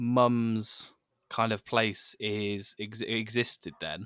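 A man speaks with an English accent. The recording is very clean and dry, close with no echo, against a silent background. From England. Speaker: podcast host. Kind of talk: casual chat. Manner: halting, many fillers and repetitions.

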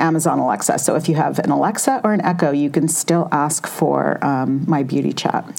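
Someone with an American accent speaks at a moderate pace with ordinary pitch variation over noticeable background noise. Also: woman. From Southern California. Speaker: beauty writer and editor. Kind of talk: interview. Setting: studio, sitting next to host.

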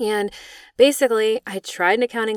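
In a dry, close sound with no echo and a very clean recording with a silent background, a woman speaks at a moderate pace in a plain, everyday voice. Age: 30s. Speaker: EFT tapping practitioner and podcast host. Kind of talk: personal monologue. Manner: casual, lots of filler words.

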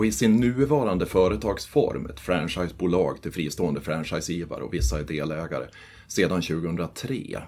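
A man's very deep, low voice at a moderate pace, full of very wide pitch swings, on a very clean recording with a silent background. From Sweden, northern Västmanland. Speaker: forestry and tax advisor. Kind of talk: interview.

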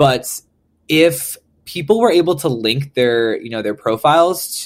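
A man with an American accent speaks at a medium pitch with ordinary pitch variation in an unremarkable speaking voice, on a very clean recording with a silent background. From US Midwest, St. Paul, Minnesota. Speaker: pop punk musician. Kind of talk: recorded interview answers.

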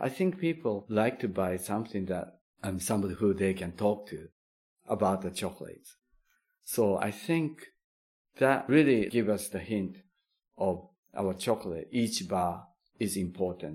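Someone with a Japanese accent talks at a moderate pace, leaving long, frequent pauses. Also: man, fairly low pitch for a man, ordinary pitch variation. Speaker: chocolate maker. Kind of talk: interview. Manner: halting.

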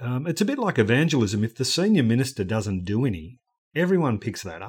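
Recorded very cleanly against a silent background, a man with an Australian accent speaks at a medium pitch. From rural Australia. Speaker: ministry organisation director. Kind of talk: podcast interview.

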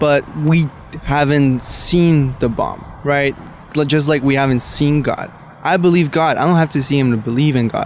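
A man speaks at a moderate pace with a fairly high pitch and fairly even intonation. His loudness stays very even, and background noise is noticeable. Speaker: college student. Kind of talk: casual debate. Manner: halting.

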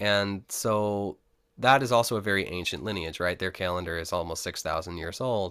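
At a moderate pace, a man with an American accent uses a plain, everyday voice, a fairly low pitch and ordinary pitch variation. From upstate New York (Rochester). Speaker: musician and sound healer. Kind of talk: interview.

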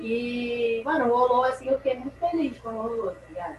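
A woman's high voice, with ordinary pitch variation, moves at a fairly quick pace amid noticeable background noise. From Rio de Janeiro, Brazil. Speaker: skateboarder. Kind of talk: casual interview chat.

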